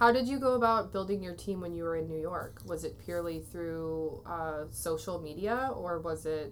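A woman with an American accent, fairly low in pitch, at a moderate pace with lively intonation and hardly any pauses, with audible room echo. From US Midwest (Waterloo, Iowa). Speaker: podcast host and photographer. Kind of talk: interview.

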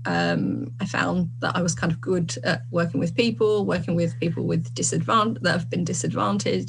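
A woman speaks over noticeable background noise. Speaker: social work lecturer. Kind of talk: panel discussion. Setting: video call.

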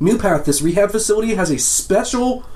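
A man is speaking. Noticeable background noise runs underneath. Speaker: podcast co-host. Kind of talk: casual banter.

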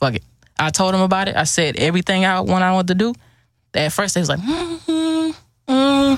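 Speaking at a fairly quick pace with an American accent, the voice breaks off in long, frequent pauses. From Houston, Texas. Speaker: clothing entrepreneur. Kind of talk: casual chat.

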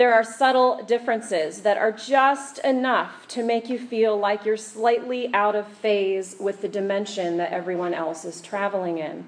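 A woman with an American accent speaks at a moderate pace and a fairly high pitch, with ordinary pitch variation. She hardly pauses, and background noise is noticeable. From Kansas. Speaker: preacher. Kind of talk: sermon. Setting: church.

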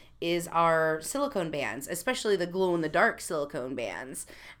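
With an American accent and an ordinary speaking voice, a woman talks at a moderate pace and a fairly low pitch, her intonation lively. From US Midwest, Missouri. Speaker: podcast host, marketing staff. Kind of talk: casual chat.

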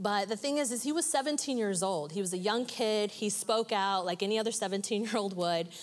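An ordinary speaking voice moves at a fairly quick pace with ordinary pitch variation and hardly any pauses. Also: woman, medium pitch for a woman. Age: 40s. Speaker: church member sharing testimony. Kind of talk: testimony.

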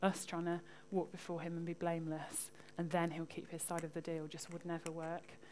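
A fairly quick pace in monotone, flat intonation. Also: woman, fairly low pitch for a woman. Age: 20s. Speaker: lay preacher. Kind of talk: sermon.

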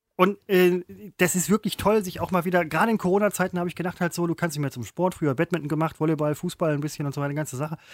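Very fast speech, dry and close with no echo. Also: man, high pitch for a man, ordinary pitch variation. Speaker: podcast co-host, former TV presenter. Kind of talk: casual chat. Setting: remote call.

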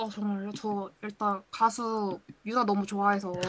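A woman at a medium pitch and a fairly slow pace. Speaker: listener guest, university student. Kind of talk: casual chat. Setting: remote call. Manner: animated.

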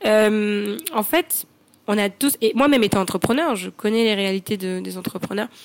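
Here is a woman with a normal speaking voice. She talks at a fairly slow pace with a fairly high pitch. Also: ordinary pitch variation. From Côte d'Ivoire, Grand-Bassam. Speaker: entrepreneur. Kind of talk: interview. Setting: remote call.

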